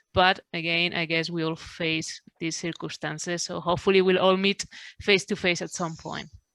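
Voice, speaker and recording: On a very clean recording with a silent background, a woman with a Spanish accent speaks in a fairly low pitch, her intonation monotone and flat. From Spain. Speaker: veterinary neurologist. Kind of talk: panel discussion. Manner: fast.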